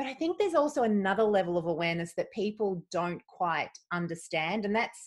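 A woman with an unremarkable speaking voice, medium pitch and moderate pace. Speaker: podcast host. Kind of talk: interview conversation.

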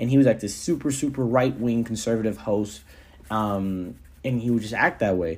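Here is a man with a plain, everyday voice at a medium pitch. He speaks at a moderate pace. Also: ordinary pitch variation. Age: 20s. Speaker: podcast host. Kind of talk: casual solo monologue. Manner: conversational, filler-heavy.

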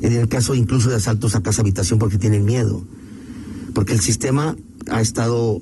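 The man's fairly low voice stays very even in loudness as he talks at a fairly quick pace over noticeable background noise. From Mexico, León, Guanajuato. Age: 50s. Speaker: political candidate. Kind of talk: radio interview.

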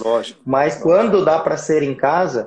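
Speaking at a fairly quick pace, a man uses a normal speaking voice, fairly high in pitch with ordinary variation. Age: 40s. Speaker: obstetrician. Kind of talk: casual chat. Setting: Instagram live video.

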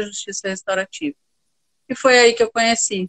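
The recording has a dry, close sound with no echo. A woman speaks in an ordinary speaking voice at a fairly high pitch with ordinary pitch variation. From Rio Grande do Sul, Brazil (Santa Maria). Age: 50s. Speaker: university professor and restorative justice instructor. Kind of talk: interview conversation. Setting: Instagram live video stream.

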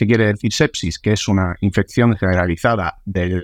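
A man speaks in a normal speaking voice at a moderate pace, fairly low in pitch with ordinary variation. The recording is very clean, dry and close with no echo and a silent background. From Sicily, Italy. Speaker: meningitis survivor, quadruple amputee. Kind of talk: interview.

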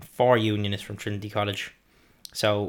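At a moderate pace, a man with an Irish accent speaks in a fairly low pitch, in a very clean recording with a silent background. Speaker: podcast co-host. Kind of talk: reading from notes; casual chat.

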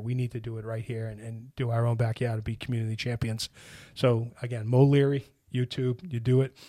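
In a Boston accent, a man with a medium-pitched, dark and mellow voice talks fairly quickly in a flat monotone. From Boston, Hyde Park. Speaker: construction executive and charity founder. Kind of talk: interview.

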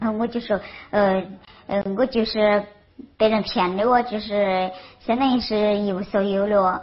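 This woman speaks with a Sichuan accent at medium pitch and a fairly slow pace. Her intonation is fairly even, and her pauses are long and frequent. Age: 40s. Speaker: crime victim. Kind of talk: testimony. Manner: halting.

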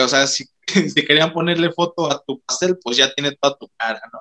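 Bright and sharp in tone, a man speaks with a Mexican accent at a moderate pace. His pitch variation is ordinary, and the sound is dry and close with no echo. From Mexico. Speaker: podcast host. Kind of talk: casual chat.

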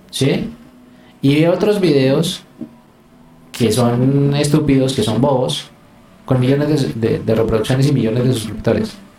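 A man with a fairly high pitch and ordinary pitch variation speaks at a moderate pace, with long, frequent pauses. Room echo is audible. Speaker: youtuber and photographer. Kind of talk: casual chat.

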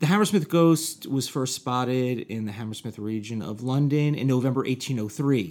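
A normal speaking voice from a man, medium in pitch, with lively intonation, a moderate pace and hardly any pauses. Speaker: podcast co-host. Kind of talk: comedic banter.

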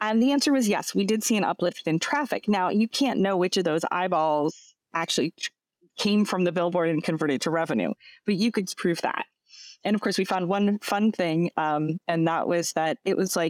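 A woman with a normal speaking voice and an American accent, medium pitch, moderate pace, dry, close sound with no echo, very clean recording with a silent background. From US East Coast. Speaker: tech company CEO. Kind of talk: casual interview.

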